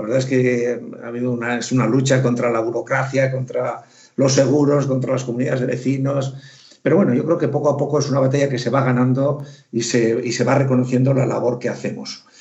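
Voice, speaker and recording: A man talks at a fairly quick pace in a monotone, flat intonation, with audible echo in the room. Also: medium pitch for a man. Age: 60s. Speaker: retired theoretical physicist, electric car owner. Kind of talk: casual chat.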